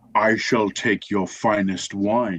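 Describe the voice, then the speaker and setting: A man puts on a growling character voice at a fairly low pitch. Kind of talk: fantasy character voice. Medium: actual play.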